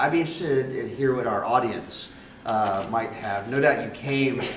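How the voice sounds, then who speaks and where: Noticeable background noise and audible room echo around a man's medium-pitched voice. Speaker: moderator and academic director. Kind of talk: panel moderation.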